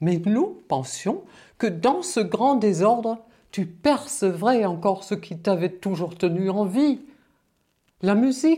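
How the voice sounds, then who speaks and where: Speaking very slowly with long, frequent pauses, a woman of medium pitch has a dark, mellow, somewhat breathy tone and very wide pitch swings, in a very clean recording with a silent background. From Germany. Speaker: musician. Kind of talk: reading aloud.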